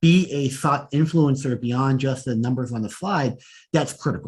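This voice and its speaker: There's a somewhat breathy quality to this voice. Pitch moves up and down in an ordinary way. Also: man. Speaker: data analytics executive. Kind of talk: interview conversation. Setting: podcast. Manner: fast.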